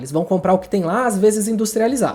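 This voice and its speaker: With lively intonation, a man speaks in a high pitch. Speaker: writing YouTuber. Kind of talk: casual tutorial monologue. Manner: fast.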